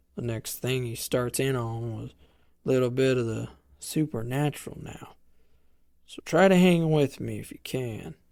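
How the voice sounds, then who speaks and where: A put-on character voice with a drawling rural Western US accent, a low-to-middle pitch and a moderate pace. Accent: rural American Western drawl. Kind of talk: campfire horror storytelling. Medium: solo performance. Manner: drawling, conversational, folksy.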